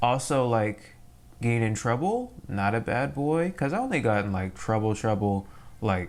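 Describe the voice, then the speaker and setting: A man at a medium pitch speaks at a moderate pace, his intonation lively and his loudness very even. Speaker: YouTuber drawing artist. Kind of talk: casual chat while drawing. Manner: animated.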